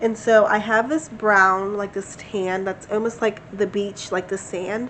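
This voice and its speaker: Noticeable background noise runs under a woman's medium-pitched voice. She talks at a fairly slow pace with fairly even intonation. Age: 20s. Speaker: crochet vlogger. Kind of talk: casual vlog chat. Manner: conversational, filler-heavy.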